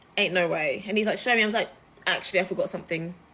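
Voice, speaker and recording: With a British accent, a woman speaks in an animated, bright, sharp tone at a medium pitch. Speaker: travel content creator. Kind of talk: casual storytime vlog.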